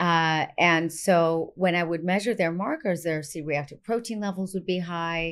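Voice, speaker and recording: In a very clean recording with a silent background, a woman with a fairly low pitch talks in a plain, everyday voice at a moderate pace with hardly any pauses. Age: 50s. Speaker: naturopathic doctor. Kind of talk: casual chat. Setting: clinic.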